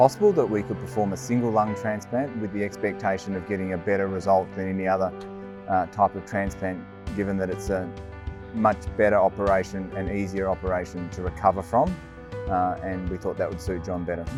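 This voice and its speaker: Over music in the background, a man talks at a fairly quick pace in a fairly low pitch with fairly even intonation. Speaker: lung specialist doctor. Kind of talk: interview answer.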